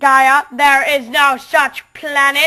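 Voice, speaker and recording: A man shouts loudly in a put-on character voice that is robotic, extremely high in pitch and monotone with flat intonation. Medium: read story. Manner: repetitive shouting commands.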